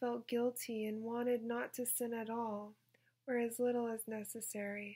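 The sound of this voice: The voice is an unforced reading voice. It is used throughout the clip.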